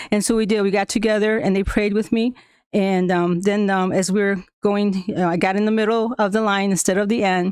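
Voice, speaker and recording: A woman with a Spanish accent speaks fairly quickly at a medium pitch, monotone and flat, with very even loudness on a very clean recording with a silent background. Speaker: school staff member presenting to school board. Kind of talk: prepared presentation to board meeting. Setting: school board meeting.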